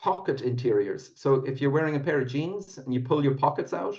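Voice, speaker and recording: A man speaks at a fairly high pitch. His voice is somewhat breathy. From Ireland, Dublin. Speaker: whiskey company founder. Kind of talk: podcast interview.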